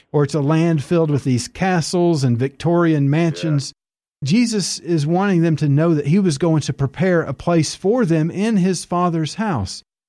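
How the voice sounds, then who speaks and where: Against a quiet background, a man with an Appalachian accent and a dark, mellow tone speaks at a moderate pace, his fairly high pitch showing ordinary variation and his loudness very even. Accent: Appalachian Southern US. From Tennessee mountains (Appalachia). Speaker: evangelist, author.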